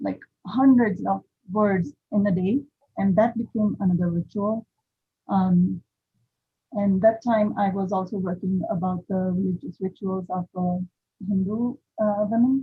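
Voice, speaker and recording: Long, frequent pauses break up a woman's fairly slow speech. Her voice is somewhat breathy. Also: medium pitch for a woman, ordinary pitch variation. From western India. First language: Indian language (not English). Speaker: visual artist. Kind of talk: panel talk about own artwork. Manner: halting, many fillers; quiet. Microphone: too quiet, far from the mic.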